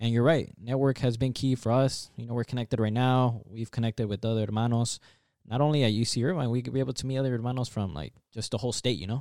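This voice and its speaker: Dark and mellow in tone, a man talks very fast at a medium pitch with fairly even intonation, in a dry, close sound with no echo and a very clean recording with a silent background. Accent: American. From Santa Ana, California. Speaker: podcast host. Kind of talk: casual interview.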